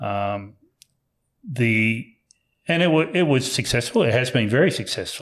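A man speaks at a medium pitch in an Australian accent, with lively intonation. His pace is fairly slow, broken by long, frequent pauses. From New South Wales, Australia. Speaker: company founder and executive. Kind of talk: interview. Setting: on site at company premises.

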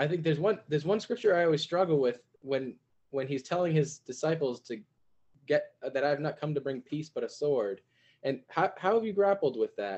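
With a normal speaking voice, a man talks at a fairly quick pace in a fairly high pitch and lively intonation. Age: 20s. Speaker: podcast host. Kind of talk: casual interview.

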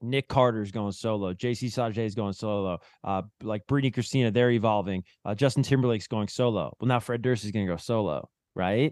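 Here a man with an American accent talks fairly quickly in a fairly low pitch, using a normal speaking voice with fairly even intonation. The sound is dry and close with no echo, over a quiet background. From New Jersey. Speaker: TV music show host. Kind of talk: casual chat.

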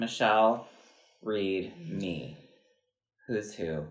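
A man with an American accent amid audible room echo. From Wisconsin. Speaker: podcast host and choreographer. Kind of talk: casual chat.

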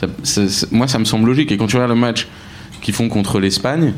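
The voice belongs to a man. Audible room echo mixes with noticeable background noise. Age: 30s. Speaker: media entrepreneur. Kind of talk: casual football chat. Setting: live in public at a Paris café.

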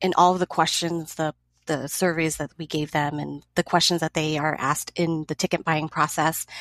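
A woman with a fairly low pitch and a Californian accent speaks at a moderate pace with fairly even intonation, in a very clean recording with a silent background and a dry, close sound with no echo. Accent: Californian American. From Los Angeles. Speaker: educator and book event co-organizer. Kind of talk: casual chat.

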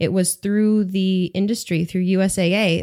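In an American accent, a woman with a fairly low pitch and a dark, mellow tone speaks at a moderate pace with monotone, flat intonation. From upstate New York, US. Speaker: language teacher. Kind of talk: casual interview.

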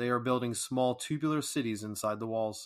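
Talking at a fairly quick pace, a man has an unremarkable speaking voice. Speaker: podcast host reading a poem. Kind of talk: poetry reading, read aloud as a campfire tale. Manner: measured, calm, storytelling cadence.

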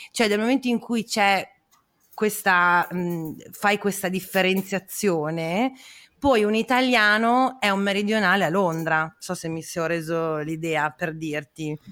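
In a very clean recording with a silent background, a woman speaks at a fairly slow pace. Her pitch is medium, with ordinary variation. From northern Italy, Parma. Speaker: podcast host. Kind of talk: casual chat; scripted narration.

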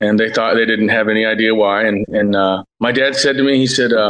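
With a plain, everyday voice, a man with an American accent talks fairly quickly at medium pitch and with fairly even intonation. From Cincinnati, Ohio. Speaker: violinist, producer and military veteran. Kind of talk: casual chat.

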